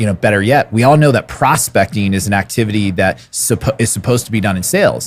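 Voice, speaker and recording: At a fairly quick pace, a man with an American accent talks in a fairly low pitch with ordinary pitch variation. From California. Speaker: podcast host, real estate coach. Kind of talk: podcast interview. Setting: conference venue. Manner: casual, animated.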